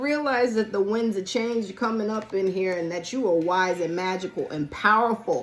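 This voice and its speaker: Noticeable background noise runs behind the recording. A woman speaks at a fairly slow pace. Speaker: tarot card reader. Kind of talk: tarot reading. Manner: animated.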